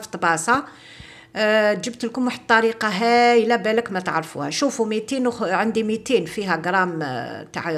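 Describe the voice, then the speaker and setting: A woman with an Algerian accent, fairly high in pitch, at a moderate pace with ordinary pitch variation. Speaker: cooking video host. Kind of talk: cooking tutorial. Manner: casual, mixing French. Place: kitchen. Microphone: phone near.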